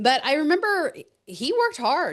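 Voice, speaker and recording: A woman speaks in an animated tone with a slight Texan accent. The background is quiet. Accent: Texas accent, slight. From West Texas. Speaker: keynote speaker, financial educator. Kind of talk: podcast interview.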